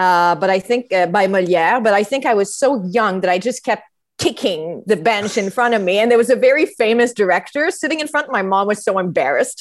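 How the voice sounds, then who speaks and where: Speaking with a Quebec accent at a fairly quick pace, a woman keeps a medium pitch, lively intonation, very even loudness and hardly any pauses. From Quebec (Montreal). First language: French. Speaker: theatre artist and musician. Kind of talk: interview conversation. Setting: video call. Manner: hesitant, many fillers.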